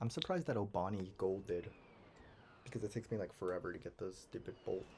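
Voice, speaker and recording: A man speaks quietly at a very fast pace, somewhat breathy. His pitch is fairly low, with ordinary variation. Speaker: video game speedrunner streamer. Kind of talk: live gameplay stream commentary. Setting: at home. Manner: quiet, talking quietly.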